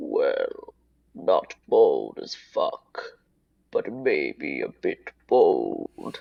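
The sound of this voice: A man performs a put-on character voice, pitched extremely high and delivered very slowly.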